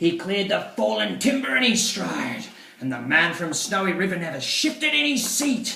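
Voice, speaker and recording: Speech moves at a moderate pace. Noticeable background noise sits behind it. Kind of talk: poetry reading.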